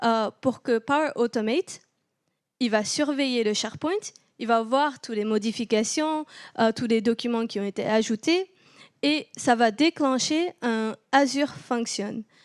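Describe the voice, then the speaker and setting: Her pitch high, a woman talks at a fairly slow pace. The sound is dry and close with no echo, in a very clean recording with a silent background. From southern France (Toulouse). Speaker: tech company partner strategist, meetup speaker. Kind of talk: technical conference talk. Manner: hesitant, many fillers.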